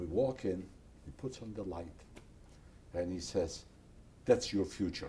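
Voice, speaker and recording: In a very deep, low pitch and a dark, mellow, somewhat breathy tone, a man talks at a fairly slow pace with ordinary pitch variation. His loudness swings widely, and he takes long, frequent pauses. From Poland. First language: Polish or Yiddish. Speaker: Holocaust survivor. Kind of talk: oral history interview.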